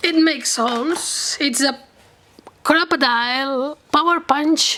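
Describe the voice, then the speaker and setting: Noticeable background noise sits behind a woman with a high pitch. She uses a raised, projected voice at a very slow pace with ordinary pitch variation. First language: Catalan or Spanish. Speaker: crafting YouTuber. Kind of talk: product demo tutorial. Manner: halting, hesitant.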